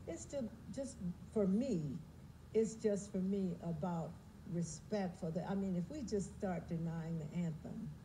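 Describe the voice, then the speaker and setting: A woman's somewhat breathy, dark, mellow voice with an American accent, fairly low in pitch, at a fairly slow pace with ordinary pitch variation and light background noise. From United States. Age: 70s. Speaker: singer. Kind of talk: TV interview answer. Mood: calm, earnest. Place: studio.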